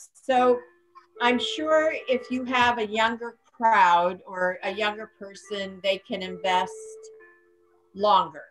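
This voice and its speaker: Music plays behind a woman with an American accent and a fairly high pitch. She talks very slowly, with long, frequent pauses. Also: ordinary pitch variation. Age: 60s. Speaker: panel participant. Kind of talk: panel discussion.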